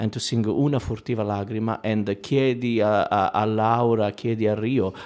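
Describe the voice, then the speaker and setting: A man's voice sits at a medium pitch and moves at a moderate pace. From Italy. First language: Italian. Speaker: opera singer. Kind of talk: panel discussion. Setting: stage with audience. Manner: halting.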